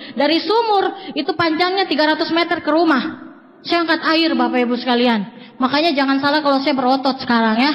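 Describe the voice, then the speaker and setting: A woman talks at a very fast pace. Noticeable background noise runs under her speech. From Indonesia, Papua (Jayapura). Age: 20s. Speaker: motivational speaker at network marketing seminar. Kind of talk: motivational seminar speech. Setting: stage with audience.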